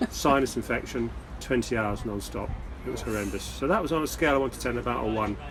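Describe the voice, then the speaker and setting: Audible room echo surrounds a man speaking at a very fast pace. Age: 60s. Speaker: sailor, retired boat traveller. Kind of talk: casual chat. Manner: halting, repeats words.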